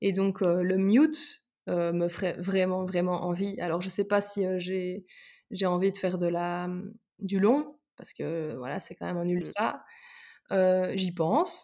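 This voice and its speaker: With a dark, mellow tone and a medium pitch, a woman speaks at a very slow pace with long, frequent pauses on a very clean recording with a silent background. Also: ordinary pitch variation. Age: 20s. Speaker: psychology-trained sports enthusiast. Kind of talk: casual interview.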